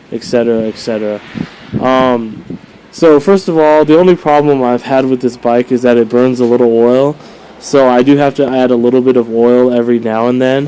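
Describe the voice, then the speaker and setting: Noticeable background noise sits under this man's voice. His pitch is medium and his intonation fairly even. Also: moderate pace. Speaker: motorcycle vlogger. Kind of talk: casual video review. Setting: outdoors. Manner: casual with many fillers.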